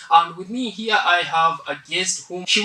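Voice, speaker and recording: There is noticeable background noise behind this man. His voice is high-pitched, with ordinary pitch variation. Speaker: podcast host at a college. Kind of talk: interview.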